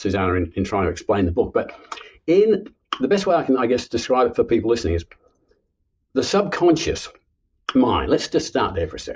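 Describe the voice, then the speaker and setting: This man's medium-pitched voice has vocal fry and very wide pitch swings. He talks at a fairly quick pace. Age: 70s. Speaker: author and subconscious reprogramming coach. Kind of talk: podcast interview.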